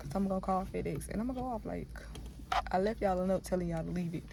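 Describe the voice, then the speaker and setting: Audible room echo surrounds a woman who speaks at a very fast pace. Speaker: vlogger. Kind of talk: casual vlog talk. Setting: in a car, then outdoors at home. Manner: rambling, animated.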